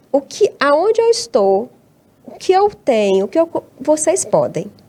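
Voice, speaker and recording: Her pitch swings very widely as the woman talks. She keeps a fairly slow pace. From Brazil, Tocantins (born in Abaeté, Minas Gerais). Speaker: academic researcher and teacher. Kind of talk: interview conversation. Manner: hesitant, with many repeated words.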